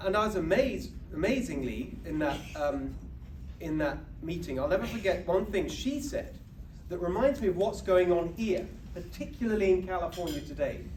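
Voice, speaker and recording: A man speaks with a British accent. Room echo is audible. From England, UK. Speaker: political speaker. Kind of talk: speech to an audience. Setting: banquet stage with audience.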